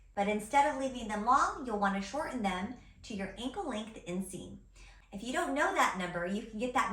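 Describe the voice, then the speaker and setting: A woman at a fairly quick pace with ordinary pitch variation, plus audible room echo and noticeable background noise. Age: 40s. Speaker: personal stylist. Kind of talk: tutorial.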